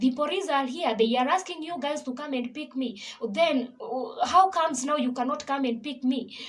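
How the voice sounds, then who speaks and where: A woman speaks with a Kenyan accent at a fairly quick pace. Her pitch is high. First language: Kikuyu. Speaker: gospel singer and vlogger. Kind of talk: personal testimony.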